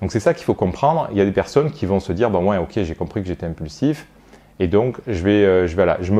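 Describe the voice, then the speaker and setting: Dark and mellow, a man's fairly low voice moves at a fairly quick pace. His intonation is lively. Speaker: sophrologist. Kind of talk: educational monologue to camera. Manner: fast; hesitant, many fillers.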